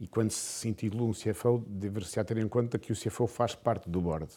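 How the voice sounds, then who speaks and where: On a very clean recording with a silent background, a man talks at a moderate pace in a dark, mellow, fairly low voice. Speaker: business executive. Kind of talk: interview.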